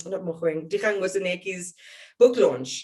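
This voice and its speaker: This woman has a South African accent. She talks at a fairly quick pace. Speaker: journalist, broadcaster. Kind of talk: interview answer.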